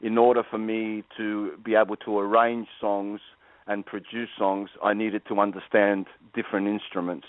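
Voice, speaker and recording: Talking at a moderate pace, a man has a fairly low pitch and an Australian accent. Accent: Australian, noticeable. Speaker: guitar teacher and professional musician. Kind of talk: radio interview. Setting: phone call. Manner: halting, many fillers and repeats.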